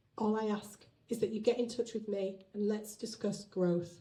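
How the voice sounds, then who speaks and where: With a British accent, a woman speaks at a moderate pace and medium pitch in a dark, mellow, somewhat breathy tone. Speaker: business owner. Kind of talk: business launch speech.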